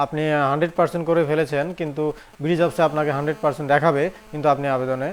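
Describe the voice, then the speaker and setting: The man speaks with a fairly high pitch and flat, monotone intonation. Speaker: job advice video host. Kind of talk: Q&A tutorial answering viewer comments. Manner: halting, with frequent pauses.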